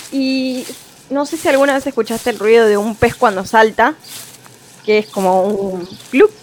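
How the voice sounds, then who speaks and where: Fairly slow speech with long, frequent pauses and noticeable background noise. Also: woman, fairly high pitch for a woman, ordinary pitch variation. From Argentine Patagonia. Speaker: eyewitness. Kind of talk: anecdote.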